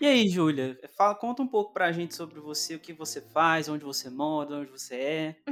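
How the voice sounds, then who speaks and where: In a plain, everyday voice, a man with a fairly high pitch speaks at a fairly quick pace with lively intonation, big swings in loudness and hardly any pauses. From interior of Minas Gerais, Brazil. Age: 20s. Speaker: podcast host. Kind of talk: casual chat.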